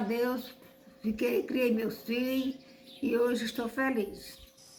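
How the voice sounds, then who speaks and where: In a room with audible echo and noticeable background noise, a woman talks very slowly in a high, monotone voice with flat intonation. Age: 70s. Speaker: elderly resident. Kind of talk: documentary interview.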